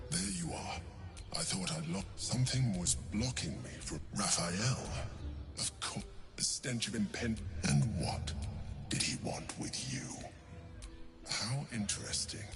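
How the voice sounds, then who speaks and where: A man's put-on character voice, fairly low and fairly slow, broken by long, frequent pauses, over loud background noise. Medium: video game. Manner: probing, controlling.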